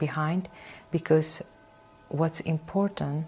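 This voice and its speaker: A woman with a Kurdish accent, very deep and low in pitch, with fairly even intonation and noticeable background noise. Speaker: painter and singer. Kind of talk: interview. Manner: halting, many hesitations.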